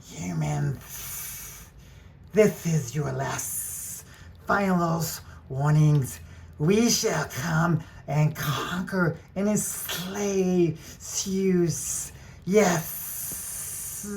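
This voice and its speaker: A put-on character voice at middle pitch, very slow and hissing, with clear background noise. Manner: menacing, theatrical.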